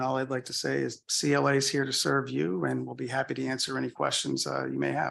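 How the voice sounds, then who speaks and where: A man with a slight Boston accent, at a fairly quick pace. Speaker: audit firm presenter. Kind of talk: answering questions in a meeting; business presentation. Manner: hesitant, many fillers.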